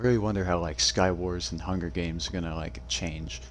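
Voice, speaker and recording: A man speaking at a fairly quick pace, with vocal fry. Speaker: gaming youtuber. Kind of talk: casual let's-play commentary. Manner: halting, many fillers.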